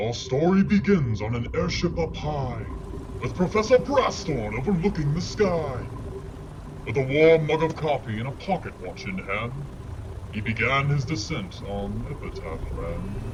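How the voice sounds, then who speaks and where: Putting on a character voice, a man speaks in a sing-song way at a moderate pace and fairly high pitch, over loud background noise. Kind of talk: gothic bedtime-story verse. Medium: audio drama. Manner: rhythmic, sing-song rhyming.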